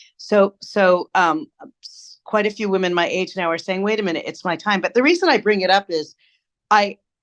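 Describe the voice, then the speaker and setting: The sound is dry and close with no echo, and the background is quiet. A woman with an ordinary speaking voice talks at medium pitch with ordinary pitch variation. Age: 60s. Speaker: storytelling expert. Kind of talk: interview.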